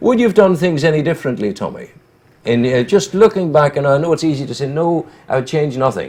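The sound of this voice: Fairly quick, lively intonation from a man at a fairly high pitch, with a slightly mellow tone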